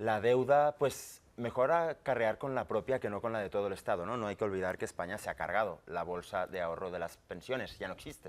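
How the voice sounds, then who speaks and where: Fairly quick delivery with hardly any pauses and ordinary pitch variation. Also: man, fairly low pitch for a man. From Catalonia. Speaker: independence activist; guest. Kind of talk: TV panel debate. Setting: TV studio. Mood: earnest, argumentative. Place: studio. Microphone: lapel.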